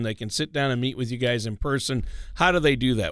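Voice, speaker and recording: At a fairly quick pace, a man with a plain, everyday voice speaks in a medium pitch. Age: 50s. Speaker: radio co-host. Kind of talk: scripted narration; casual chat.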